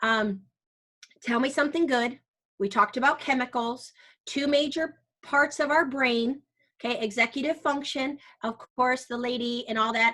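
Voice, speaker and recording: Using a bright, sharp tone, a woman with a high pitch sounds animated, speaking at a moderate pace with ordinary pitch variation and long, frequent pauses. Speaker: teacher and workshop presenter. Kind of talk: interactive workshop presentation. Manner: loud, tends to yell when energized.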